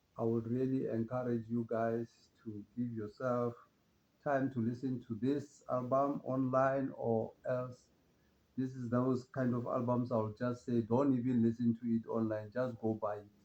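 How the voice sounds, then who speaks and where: The man's intonation stays monotone and flat. He talks at a fairly slow speed. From South Africa. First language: Pedi (Northern Sotho). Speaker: jazz music presenter. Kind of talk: casual music talk. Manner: relaxed, hesitant with fillers.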